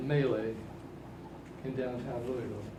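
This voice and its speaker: Audible room echo surrounds the voice. The delivery keeps to a moderate pace. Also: man. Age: 80s+. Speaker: workshop speaker to youth. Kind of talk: talk to young audience. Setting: seated at front of workshop room.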